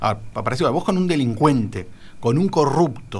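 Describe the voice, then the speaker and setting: A man speaks at a fairly quick pace in a somewhat breathy voice with lively intonation. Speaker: political panelist, lawyer. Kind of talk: radio panel discussion. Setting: radio studio.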